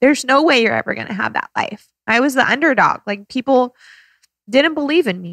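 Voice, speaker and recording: Her voice sits high for a woman, with lively intonation and an animated tone. She talks at a fairly quick pace, and the sound is dry and close with no echo. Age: 30s. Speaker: podcast host and entrepreneur. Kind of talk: casual chat.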